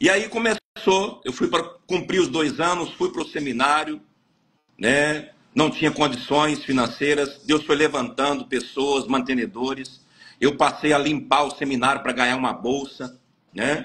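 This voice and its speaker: With a bright, sharp tone, a man talks at a fairly slow pace and a fairly high pitch. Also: ordinary pitch variation. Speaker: pastor. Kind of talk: testimony. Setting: live stream interview.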